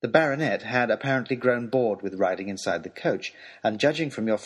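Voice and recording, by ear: The text is read aloud naturally, with pitch that moves in an ordinary way.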